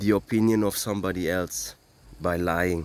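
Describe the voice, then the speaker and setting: Speaking with a non-native accent, a man keeps a moderate pace. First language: not English. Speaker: cryptocurrency advocate. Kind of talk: impassioned monologue. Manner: animated.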